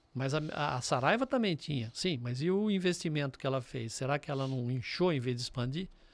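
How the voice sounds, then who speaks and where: In a plain, everyday voice, a man speaks fairly high and at a fairly quick pace with lively intonation and hardly any pauses, in a very clean recording with a silent background. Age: 60s. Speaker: business mentor and entrepreneur. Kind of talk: podcast interview.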